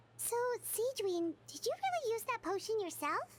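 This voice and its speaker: A woman's squeaky put-on character voice, extremely high in pitch, at a moderate pace, with clear background noise. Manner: surprised.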